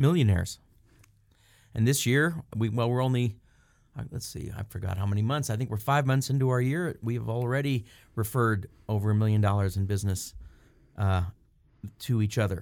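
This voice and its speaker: A man's medium-pitched voice at a fairly quick pace, with long, frequent pauses, ordinary pitch variation, and a very clean recording over a silent background. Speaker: personal injury attorney. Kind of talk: casual radio interview.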